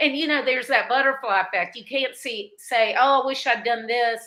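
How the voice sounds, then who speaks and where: This woman's voice sits high in pitch and has a bright, sharp tone. She speaks at a moderate pace. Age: 60s. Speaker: podcast host, former accountant. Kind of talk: casual interview chat.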